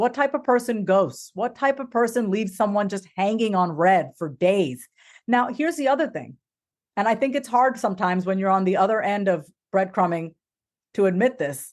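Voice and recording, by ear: A woman speaks at a moderate pace with medium pitch and lively intonation. The recording is very clean, with a silent background.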